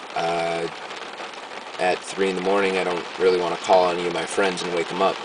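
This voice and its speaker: A man's very deep, low voice, monotone and flat, at a fairly quick pace broken by long, frequent pauses, with audible room echo. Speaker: video diarist. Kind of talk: video diary. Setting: in a car. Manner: halting.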